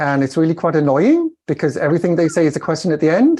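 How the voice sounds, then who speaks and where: Against a quiet background, a man with a Welsh accent speaks at a fairly high pitch. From Wales. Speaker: communication coach. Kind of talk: interview. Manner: about 140-150 words a minute.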